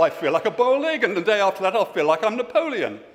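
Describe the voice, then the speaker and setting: The voice races at a very fast pace with very wide pitch swings over noticeable background noise. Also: man. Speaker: political party spokesman. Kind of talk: conference speech. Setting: stage with audience. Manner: halting.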